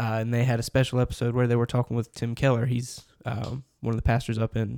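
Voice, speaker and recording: The man's dark, mellow voice moves at a very fast pace with monotone, flat intonation. The sound is dry and close, with no echo. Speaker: church podcast co-host. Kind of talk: casual chat. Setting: office.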